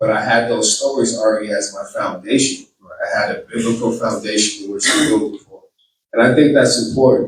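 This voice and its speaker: A man speaks with a Boston accent. He keeps a fairly quick pace. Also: big swings in loudness. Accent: Boston accent, noticeable. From Boston, Massachusetts. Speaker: political candidate. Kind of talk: campaign speech. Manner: halting.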